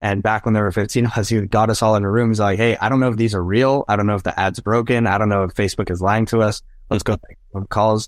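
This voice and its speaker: A man talks at a very fast pace in a fairly low pitch, with an energetic tone. The background is quiet. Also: hardly any pauses. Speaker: real estate broker and motivational speaker. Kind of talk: casual interview. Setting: remote call.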